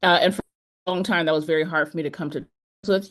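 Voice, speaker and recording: A woman with a fairly low voice and an American accent speaks with ordinary pitch variation over a quiet background. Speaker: artist and keynote speaker. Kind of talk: keynote talk. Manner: fast.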